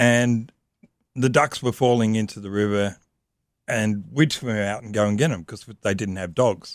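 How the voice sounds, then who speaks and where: Man with an Australian accent, fairly low pitch, moderate pace, ordinary pitch variation and big swings in loudness. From Australia, Sydney. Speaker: motorcycle traveller. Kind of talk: casual chat.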